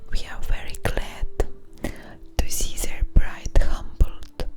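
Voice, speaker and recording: A woman whispering at a very slow pace over noticeable background noise. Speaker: ASMR streamer. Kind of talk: ASMR soft-spoken storytelling. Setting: studio microphone. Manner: soft-spoken, whispery, relaxing.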